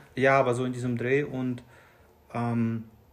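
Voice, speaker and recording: A man's intonation stays fairly even as noticeable background noise fills the recording. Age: 30s. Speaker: new father. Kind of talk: casual interview. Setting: sitting next to host. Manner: halting.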